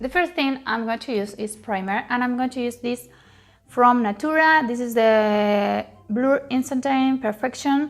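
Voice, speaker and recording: The speaker has a Spanish accent and a fairly slow pace. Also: woman, high pitch for a woman, ordinary pitch variation. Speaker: beauty youtuber. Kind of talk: makeup tutorial. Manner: halting, with frequent fillers.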